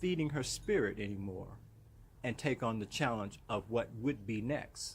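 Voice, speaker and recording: A man speaks at a very slow pace in a somewhat breathy voice. The recording is very clean, its background silent. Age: 60s. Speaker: motivational vlogger. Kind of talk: motivational monologue. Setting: outdoors in his yard. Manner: animated.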